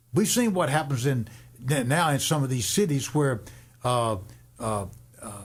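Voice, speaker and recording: A somewhat breathy man with lively intonation, at a fairly slow pace with long, frequent pauses and audible room echo. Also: medium pitch for a man. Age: 70s. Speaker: radio host and worship leader. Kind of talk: radio talk show discussion. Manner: halting, repetitive.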